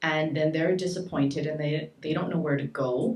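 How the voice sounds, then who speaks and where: A woman with a Montreal accent and a very deep, low pitch. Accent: Canadian English, Montreal. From Montreal, Quebec (adopted from Saskatchewan). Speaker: shelter director and community activist. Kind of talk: panel talk.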